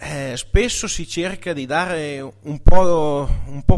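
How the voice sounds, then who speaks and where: In a quiet setting, a man speaks very slowly with lively intonation. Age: 20s. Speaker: dairy farmer. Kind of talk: presentation. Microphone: podium.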